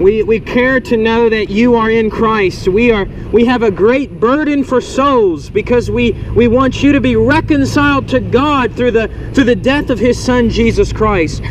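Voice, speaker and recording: Over noticeable background noise, a man talks with ordinary pitch variation and very even loudness. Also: moderate pace. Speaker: street preacher. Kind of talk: open-air sermon. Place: street. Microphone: phone near.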